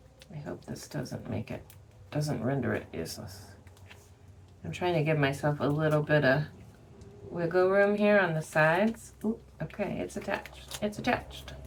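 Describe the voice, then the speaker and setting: A woman with a very deep, low pitch and very wide pitch swings, at a moderate pace with long, frequent pauses, over noticeable background noise. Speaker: craft tutorial creator. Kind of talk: tutorial. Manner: thinking out loud, casual.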